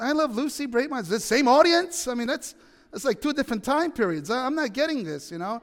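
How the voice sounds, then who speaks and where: A man with an extremely high voice speaks at a very fast pace with lively intonation. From Italy. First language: Italian. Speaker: pastor. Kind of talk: sermon. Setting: church. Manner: halting.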